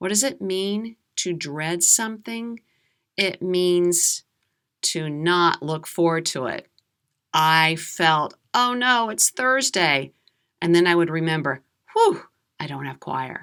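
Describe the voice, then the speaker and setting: In an American accent, a woman with a fairly low pitch and lively intonation speaks at a very slow pace with long, frequent pauses, on a very clean recording with a silent background. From USA. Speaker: English teacher. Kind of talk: slow storytelling for learners. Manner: clear, deliberate.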